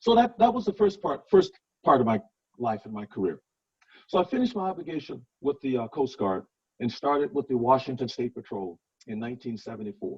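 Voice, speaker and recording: A man speaks at a fairly quick pace in a fairly high, somewhat breathy voice. His pitch swings very widely and his loudness rises and falls a lot. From Louisiana. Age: 60s. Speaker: politician and former police officer. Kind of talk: talk to a club meeting.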